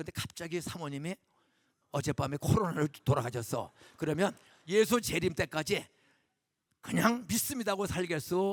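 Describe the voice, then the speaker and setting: In a dry, close sound with no echo, a man with a high pitch talks at a moderate pace with lively intonation and long, frequent pauses. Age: 70s. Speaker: guest pastor. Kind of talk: sermon. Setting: church. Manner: animated, conversational.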